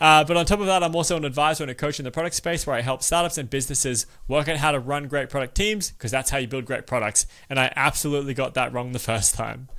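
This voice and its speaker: A man with a fairly high pitch talks at a very fast pace in a bright, sharp tone. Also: ordinary pitch variation. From Australia. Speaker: podcast host. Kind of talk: podcast interview.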